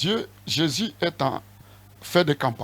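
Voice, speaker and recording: A man speaks in a somewhat breathy voice. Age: 60s. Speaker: apostle, church leader. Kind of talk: interview.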